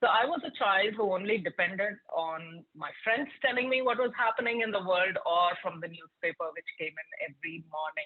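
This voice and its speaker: In a Telugu accent, a woman speaks at a moderate pace and medium pitch with lively intonation. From India, Hyderabad. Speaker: tech product leader, keynote speaker. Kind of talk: keynote talk to students. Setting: virtual event.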